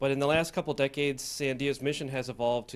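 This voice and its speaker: A man is speaking. His pace is very fast. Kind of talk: introductory remarks. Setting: seminar room.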